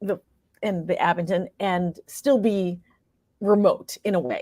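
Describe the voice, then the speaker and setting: Speaking with an American accent at a moderate pace, a woman has a normal speaking voice, medium pitch, and ordinary pitch variation, recorded very clean with a silent background and a dry, close sound with no echo. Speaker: actress and playwright. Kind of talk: interview answer.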